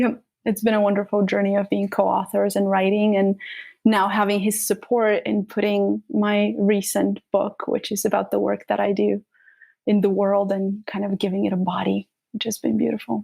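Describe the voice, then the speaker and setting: A woman with a Bulgarian accent at a moderate pace, the sound dry and close with no echo. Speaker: trauma practitioner and author. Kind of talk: interview.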